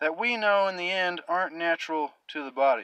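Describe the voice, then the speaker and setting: A man's high-pitched, bright, sharp voice at a moderate pace, ordinary pitch variation, dry sound with no echo and a quiet background. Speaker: vlogger. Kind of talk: casual vlog monologue on health topic. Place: car. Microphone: phone near.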